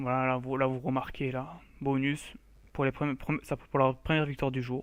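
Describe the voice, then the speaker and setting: Monotone, flat delivery from a man at medium pitch and moderate pace. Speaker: gaming youtuber. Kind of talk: gameplay commentary. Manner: halting, stammering.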